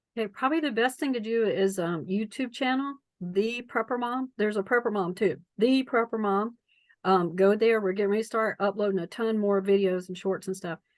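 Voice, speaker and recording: Fairly high-pitched, a woman with a North Carolina accent speaks at a fairly quick pace against a quiet background. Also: ordinary pitch variation. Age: 60s. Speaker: preparedness coach. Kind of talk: interview.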